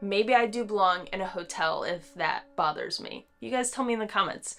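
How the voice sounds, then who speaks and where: A woman's bright, sharp, fairly high voice, with lively intonation and a fairly slow pace. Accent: Southern. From North Carolina. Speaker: hiking vlogger. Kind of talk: casual talk to camera.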